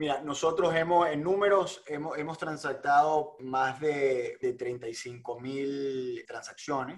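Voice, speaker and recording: A man speaks very slowly with hardly any pauses. His fairly high voice keeps a fairly even intonation. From Venezuela. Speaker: real estate entrepreneur. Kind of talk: interview.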